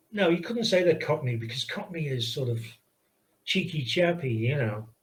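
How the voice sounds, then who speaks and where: A man's voice comes across as somewhat breathy. His pitch variation is ordinary. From Liverpool, England. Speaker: video game pixel artist. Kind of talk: casual interview chat. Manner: hesitant, with fillers and restarts.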